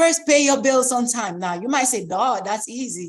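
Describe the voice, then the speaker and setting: A woman speaks with an animated tone. Her intonation is lively. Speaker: credit rehabilitation coach. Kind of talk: expo presentation.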